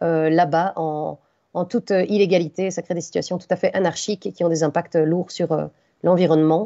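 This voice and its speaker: Talking at a fairly quick pace, a woman uses a fairly low, flat, monotone voice with vocal fry. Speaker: conference speaker on mining impacts. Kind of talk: conference talk with slides. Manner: fast; hesitant, many fillers.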